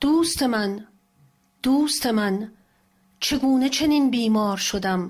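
A somewhat breathy woman's voice with lively intonation, at a very slow pace. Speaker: translator. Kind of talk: poetry reading.

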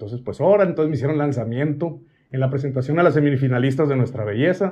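Against a quiet background, a man at a medium pitch speaks at a fairly quick pace with ordinary pitch variation. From Mexico, Sonora (Hermosillo); Sonora. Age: 40s. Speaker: cooking content creator. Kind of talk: casual interview chat. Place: studio.

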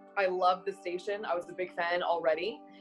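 A woman with a fairly low pitch and fairly even intonation, at a fairly quick pace, with faint music in the background. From Montreal, Canada. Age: 20s. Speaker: radio announcer. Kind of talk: interview answer. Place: home room. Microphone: webcam.

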